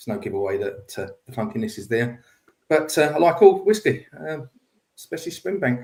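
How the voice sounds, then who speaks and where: With an Essex accent, a man talks at a fairly quick pace in a fairly high voice, with very wide pitch swings and big swings in loudness over music in the background. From England, Essex. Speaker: whisky enthusiast. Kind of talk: casual chat.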